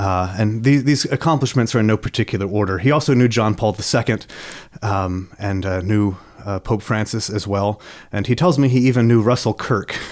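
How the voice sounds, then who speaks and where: A man with an American accent has a plain, everyday voice, fairly low in pitch with ordinary pitch variation. He talks at a fairly quick pace on a very clean recording with a silent background. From United States. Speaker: podcast host. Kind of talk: interview.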